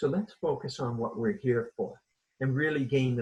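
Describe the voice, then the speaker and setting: A man talks at a moderate pace with a fairly high pitch, a somewhat breathy voice and lively intonation. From Canada, Toronto. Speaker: leadership coach. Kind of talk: interview conversation.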